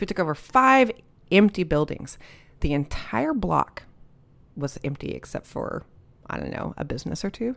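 A woman with an American accent speaks at a moderate pace. Her pitch swings very widely on a very clean recording with a silent background. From Dallas-Fort Worth area, Texas. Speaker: photographer and community association president. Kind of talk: casual interview chat. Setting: community center.

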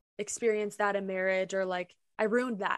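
A woman at medium pitch speaks with an Upper Midwest accent. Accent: Upper Midwest American. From Minnesota, small town. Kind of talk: testimony.

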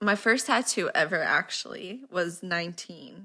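In a very clean recording with a silent background, a woman's bright, sharp tone sits at medium pitch with ordinary pitch variation. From Brazil. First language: Portuguese. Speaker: podcast guest, friend of host. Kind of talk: casual chat.

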